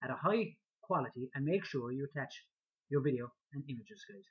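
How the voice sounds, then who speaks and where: Here a man talks with a strong Irish accent. His pitch variation is ordinary. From Ireland. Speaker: online marketing vlogger. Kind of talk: talking-head video tutorial. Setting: speaking to camera. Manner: hesitant with many fillers and repetitions.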